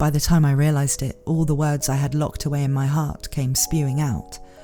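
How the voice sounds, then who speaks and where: Over music in the background, a woman with a very deep, low pitch speaks in fairly even intonation. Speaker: audiobook narrator. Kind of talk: audiobook reading.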